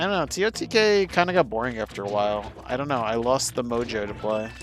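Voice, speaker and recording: Music plays in the background. A man speaks at a very fast pace with lively intonation. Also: medium pitch for a man. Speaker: video game streamer. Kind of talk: casual live-stream chat while gaming. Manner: sometimes fast and mumbling.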